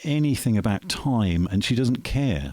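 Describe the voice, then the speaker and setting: The voice moves at a moderate pace with lively intonation and has a dry, close sound with no echo. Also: man. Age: 50s. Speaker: musician. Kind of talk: casual interview chat. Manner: hesitant with fillers.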